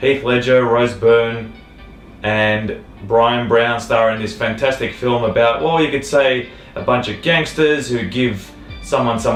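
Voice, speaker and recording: Music plays behind a man with an Australian accent. He speaks at a medium pitch and moderate pace, with ordinary pitch variation. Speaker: film reviewer. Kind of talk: casual talk to camera.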